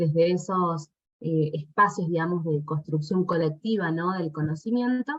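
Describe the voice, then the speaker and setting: A woman's somewhat breathy voice with an Argentine accent, fairly low in pitch, at a moderate pace with ordinary pitch variation. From Argentina. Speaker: doctoral researcher presenting at an academic symposium. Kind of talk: academic conference talk. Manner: hesitant, many fillers.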